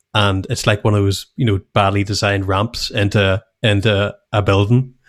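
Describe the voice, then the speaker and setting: A man with a Northern Irish accent speaks at a fairly slow pace, with monotone, flat intonation and very even loudness, in a dry, close sound with no echo. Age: 30s. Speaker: podcast co-host, web designer. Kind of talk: casual chat. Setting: video call.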